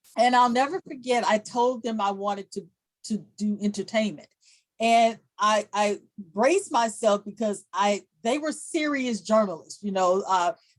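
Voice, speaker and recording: A woman's fairly high voice moves at a moderate speed, its pitch varying in an ordinary way. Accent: St. Louis. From US Midwest, St. Louis, Missouri. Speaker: journalist. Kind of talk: podcast interview.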